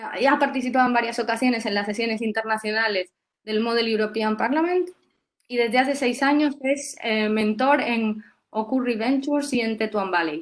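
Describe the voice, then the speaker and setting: A woman talks at a moderate pace, with a fairly high pitch and ordinary pitch variation. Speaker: workshop host and interviewer. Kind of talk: webinar interview. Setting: online webinar. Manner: hesitant, many fillers.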